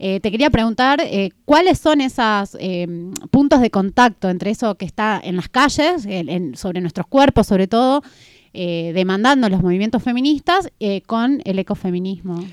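A woman with a Catamarca Argentine accent speaks at a fairly slow pace in a fairly high voice with very wide pitch swings, on a very clean recording with a silent background and dry, close sound with no echo. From Catamarca, Argentina. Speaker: radio co-host. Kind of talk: casual radio chat.

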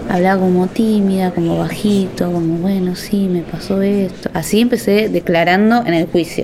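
Over noticeable background noise, a woman talks at a moderate pace with a medium pitch and fairly even intonation. Her loudness stays very even, and she hardly pauses. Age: 30s. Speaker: artist and abuse survivor testifying. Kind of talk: testimony interview.

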